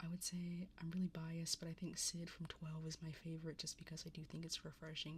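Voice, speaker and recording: Speaking at a fairly quick pace, a woman has a fairly low pitch. Her voice is somewhat breathy. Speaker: vtuber, livestreamer. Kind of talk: casual livestream talk about card opening. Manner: annoyed, ranting.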